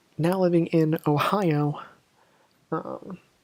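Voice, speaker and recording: A man talks with an American accent. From Illinois, US Midwest. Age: 20s. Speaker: gaming YouTuber. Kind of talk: gameplay commentary. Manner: casual, animated.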